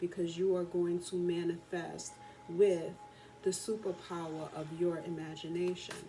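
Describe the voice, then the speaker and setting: A soft-spoken woman talks in a fairly low, monotone, flat voice. Audible room echo and noticeable background noise surround her. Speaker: tarot and oracle card reader. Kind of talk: oracle card reading. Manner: soft-spoken, talking very low.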